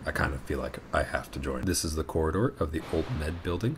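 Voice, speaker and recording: A man with a very deep, low voice talks at a very fast pace. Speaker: vlogger, law student. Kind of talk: casual vlog narration.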